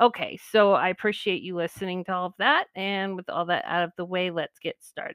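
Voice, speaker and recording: The speaker, with an American accent, keeps fairly even intonation and hardly any pauses in a dry, close sound with no echo. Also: woman, medium pitch for a woman. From California. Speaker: podcast host. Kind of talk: solo monologue podcast. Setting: home recording into computer.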